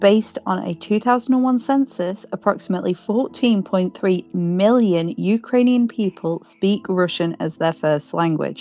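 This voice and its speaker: A woman with a British accent speaks at a moderate pace. Her medium-pitched voice has a dark, mellow tone. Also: ordinary pitch variation, hardly any pauses. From Britain. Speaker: true crime podcast co-host. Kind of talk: podcast discussion and case narration.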